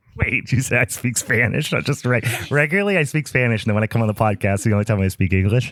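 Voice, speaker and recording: A man talks at a very fast pace with very even loudness and ordinary pitch variation, with noticeable background noise. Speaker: podcast host.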